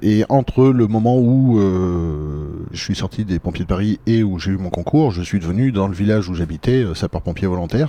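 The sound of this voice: A low-pitched man with a dark, mellow tone speaks at a moderate pace with few pauses and ordinary pitch variation.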